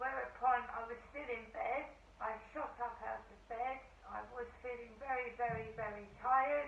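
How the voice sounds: With vocal fry and a fairly bright tone, a woman speaks at a fairly high pitch with fairly even intonation, and room echo is audible. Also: moderate pace.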